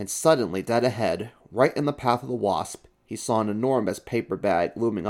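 The recording features plain reading aloud, its pitch varying in an ordinary way.

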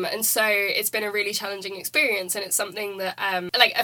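A woman talks at a very fast pace in a British accent. Her tone is bright and sharp. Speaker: student podcaster. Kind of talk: casual academic discussion.

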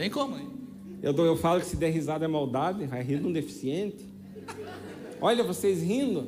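A man with a high pitch speaks at a moderate pace, his pitch swinging very widely, with long, frequent pauses. Noticeable background noise and audible room echo fill the recording. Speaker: guest preacher. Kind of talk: sermon. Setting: church stage with audience. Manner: animated.

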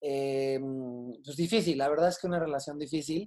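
A man talks at a fairly quick pace in a fairly high pitch with a dark, mellow tone. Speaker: comedian and television writer. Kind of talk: casual chat.

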